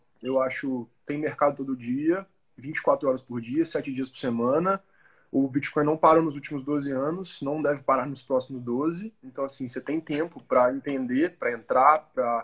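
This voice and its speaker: A man with a normal speaking voice, fairly high pitch, moderate pace and fairly even intonation. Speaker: crypto education company CEO. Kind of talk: casual chat.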